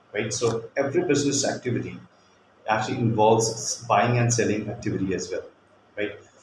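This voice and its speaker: Speaking with an Indian accent, a man goes at a fairly quick pace. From India, Kolkata. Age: 40s. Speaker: teacher. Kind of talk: demo lesson. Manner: hesitant, many fillers.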